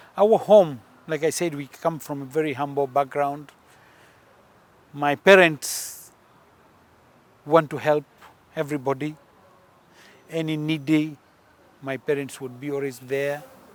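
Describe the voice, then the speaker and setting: With a Punjabi accent, a man of fairly high pitch talks at a fairly slow pace, his intonation fairly even, his loudness swinging widely, and his long pauses coming often. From Uganda, grew up in army barracks. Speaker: politician. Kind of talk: interview.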